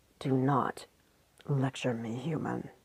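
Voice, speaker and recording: A rumbling, put-on character voice sits at a low-to-middle pitch. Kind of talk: formal. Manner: angry.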